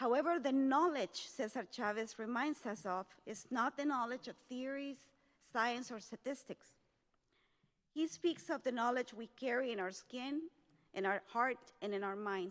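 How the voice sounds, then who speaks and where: In a Spanish accent, a woman speaks at a high pitch and a moderate pace, with ordinary pitch variation. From El Salvador. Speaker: community leader, keynote speaker. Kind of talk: formal speech. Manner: formal.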